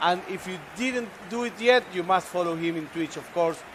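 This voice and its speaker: This man has a high pitch and ordinary pitch variation, speaking with an Argentine accent. Background noise is noticeable. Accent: Argentine Spanish accent on English. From Argentina. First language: Spanish. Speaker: esports commentator. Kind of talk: live commentary.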